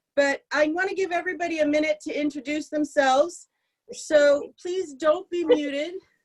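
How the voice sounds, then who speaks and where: This loud voice keeps a moderate pace with ordinary pitch variation. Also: woman, high pitch for a woman. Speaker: prayer service leader. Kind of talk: service leading and welcome remarks.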